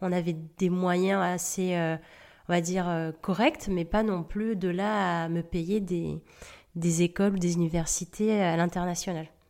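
Delivered at a fairly slow pace, the voice stays monotone and flat over a very clean recording with a silent background. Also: woman, fairly low pitch for a woman. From Madagascar, southeast coast. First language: Indian dialect (speaking French). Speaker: podcast host and life coach. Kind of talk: personal storytelling monologue. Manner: halting with frequent hesitations.

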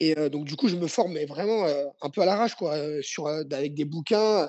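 A man of fairly high pitch, ordinary pitch variation and moderate pace. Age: 30s. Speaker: judo and jujitsu coach, former athlete. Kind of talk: interview. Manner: halting.

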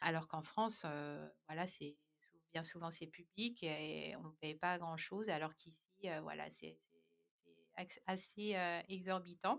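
Speaking at a very slow pace with long, frequent pauses, a woman with a fairly low voice and vocal fry keeps a fairly even intonation while her loudness swings widely. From Madagascar. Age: 30s. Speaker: expatriate mother. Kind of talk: casual chat.

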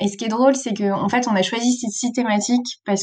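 A woman speaks with fairly even intonation. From France, Brittany (south Finistère). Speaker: author and youth trainer. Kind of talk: interview. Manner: hesitant, many fillers.

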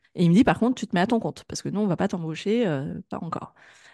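Against a quiet background, a woman with a plain, everyday voice talks at a medium pitch with lively intonation, the sound dry and close with no echo. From France, Grenoble. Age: 30s. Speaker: digital marketing consultant. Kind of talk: interview.

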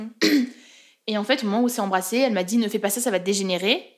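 A woman with a medium pitch rattles along at a very fast pace. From French Alps (Chamonix area). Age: 20s. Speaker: journalism student. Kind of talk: casual chat.

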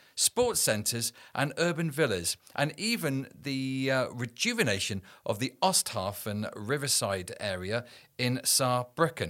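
A man with an ordinary speaking voice at a medium pitch talks with lively intonation on a very clean recording with a silent background. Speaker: podcast host. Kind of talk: interview.

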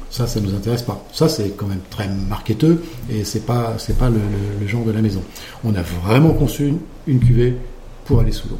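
A man at medium pitch talks at a fairly quick pace with long, frequent pauses and ordinary pitch variation, in a space with audible room echo and noticeable background noise. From Champagne, France. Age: 60s. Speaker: champagne house owner. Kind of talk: interview. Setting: at a champagne house.

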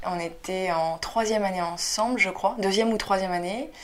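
A woman at a medium pitch talks with noticeable background noise behind her. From Paris suburbs, France. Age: 20s. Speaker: actress and comedian. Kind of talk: casual interview chat.

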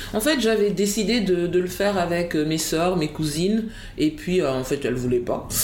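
A woman's fairly low-pitched voice with lively intonation, set against noticeable background noise and audible room echo. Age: 40s. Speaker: academic and writer. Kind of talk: interview. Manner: halting, repeats words.

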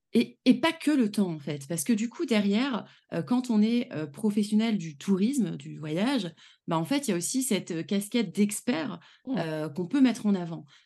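Against a quiet background, a woman with a dark, mellow, somewhat breathy tone speaks at a moderate pace with very wide pitch swings. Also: medium pitch for a woman. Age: 30s. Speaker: travel planner and trainer. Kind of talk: casual interview chat.

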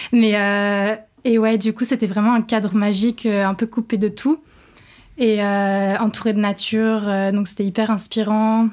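In a very clean recording with a silent background, a woman speaks at a fairly slow pace, her fairly high pitch held in a monotone, flat intonation. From Normandy, France (Rouen). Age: 20s. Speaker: professional dancer. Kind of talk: casual interview chat.

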